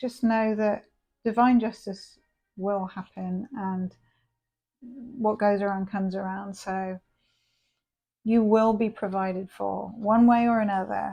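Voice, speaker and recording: A woman's dark, mellow tone at a very slow pace, with fairly even intonation over a quiet background. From England. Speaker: tarot reader. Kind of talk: tarot reading. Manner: casual, chatty with hesitations.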